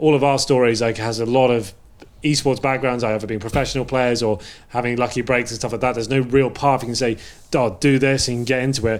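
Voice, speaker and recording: Speaking at a very fast pace, the man keeps a medium pitch and fairly even intonation. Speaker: esports caster and analyst. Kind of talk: casual chat.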